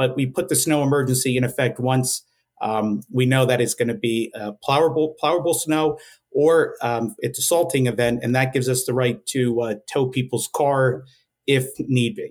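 A man with a New Jersey accent at a moderate pace, with ordinary pitch variation. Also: medium pitch for a man. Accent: New Jersey American English. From northwest New Jersey. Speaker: police sergeant. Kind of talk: interview. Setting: studio.

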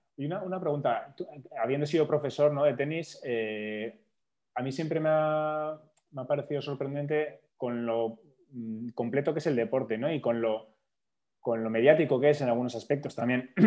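Pitched fairly high, a man's voice moves at a moderate pace. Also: ordinary pitch variation. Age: 40s. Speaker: podcast host. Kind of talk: casual chat.

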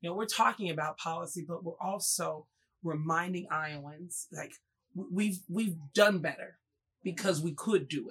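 With an American accent, a woman speaks in an unremarkable speaking voice at a fairly low pitch and a moderate pace, her pitch varying in an ordinary way while her loudness swings widely. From Mississippi, Jackson; teen years in Oklahoma. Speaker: political candidate. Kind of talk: interview conversation.

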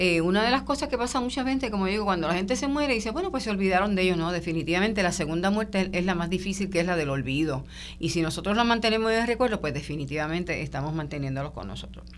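A woman's very fast speech with hardly any pauses. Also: medium pitch for a woman, lively intonation. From Puerto Rico. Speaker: genealogist. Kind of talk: radio interview.

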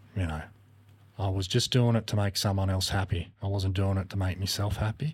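On a very clean recording with a silent background, a somewhat breathy man with an Australian accent speaks at a moderate pace and a fairly low pitch, with fairly even intonation. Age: 40s. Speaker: podcast guest. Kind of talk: casual chat. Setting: studio.

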